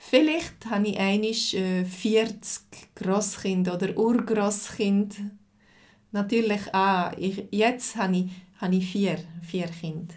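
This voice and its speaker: A woman speaks at a very slow pace and a medium pitch, her voice somewhat breathy. Her pitch varies in an ordinary way over a quiet background. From Switzerland. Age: 40s. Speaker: language teacher. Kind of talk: live lesson. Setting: livestream.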